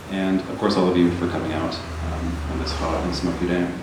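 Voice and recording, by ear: In a room with audible echo, a soft-spoken man with a low voice talks at a fairly quick pace.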